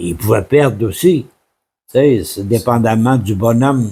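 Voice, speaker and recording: Here a man speaks with a dark, mellow, somewhat breathy tone at a medium pitch. His pace is very slow, and his intonation is lively. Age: 80s+. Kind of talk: interview answer.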